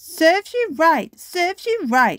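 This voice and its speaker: A woman's put-on character voice at an extremely high pitch, delivered at a fairly slow pace. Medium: read story. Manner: cheeky, lively.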